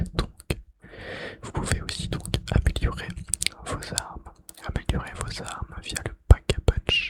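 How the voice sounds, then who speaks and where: Whispering at a very slow pace, a man comes through with a dry, close sound with no echo, over noticeable background noise. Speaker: ASMR creator. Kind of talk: ASMR gaming facts whispered while playing. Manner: whispered; repetitive trigger words.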